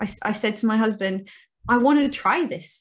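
A woman's somewhat breathy, fairly high voice against a quiet background. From Cape Town, South Africa. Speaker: marketing agency owner, guest. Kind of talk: interview chat.

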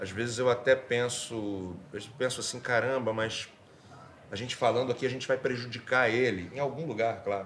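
A man's medium-pitched voice keeps a fairly even intonation and moves at a moderate speed. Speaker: actor. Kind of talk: testimony. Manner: halting, repeats words.

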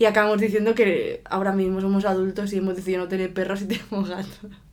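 Through noticeable background noise, a woman speaks at a very fast pace and medium pitch. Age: 30s. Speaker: podcast co-host. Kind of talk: casual chat.

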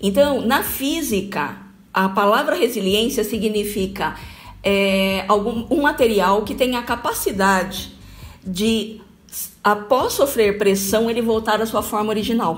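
Somewhat breathy and fairly high, a woman's voice moves at a fairly slow pace with ordinary pitch variation, and audible room echo surrounds it. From Brazil, Bauru (São Paulo state). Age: 50s. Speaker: corporate trainer and HR consultant. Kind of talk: radio talk show interview. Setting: radio studio.

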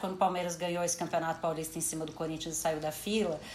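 A woman's voice is heard with audible echo from the room and noticeable noise in the background. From Brazil, São Paulo. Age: 30s. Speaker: sports journalist and manager. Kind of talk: casual interview chat.

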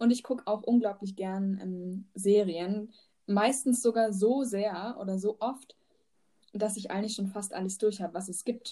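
A woman talks at a fairly slow pace with a medium pitch, fairly even intonation, a dark, mellow tone and a somewhat breathy quality. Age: 20s. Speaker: teaching student and podcast host. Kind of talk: casual chat. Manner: hesitant, many fillers.

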